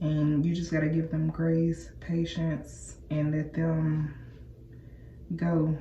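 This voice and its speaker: Amid audible room echo, a woman with a very deep, low pitch and a dark, mellow tone speaks somewhat breathily in a monotone, flat intonation at a very slow pace. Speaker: hair and lifestyle vlogger. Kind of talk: casual vlog chat. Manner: casual, halting at times.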